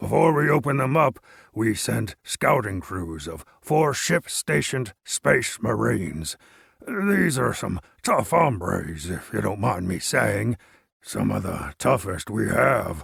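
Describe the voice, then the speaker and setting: A raspy, put-on character voice from a man, fairly low in pitch and fairly slow, on a very clean recording with a silent background. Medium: read story. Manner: talkative, gesturing grandly.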